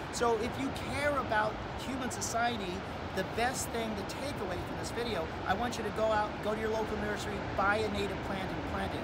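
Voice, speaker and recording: Music plays in the background. A man speaks at a moderate pace over it. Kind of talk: tutorial. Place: garden. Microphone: phone near.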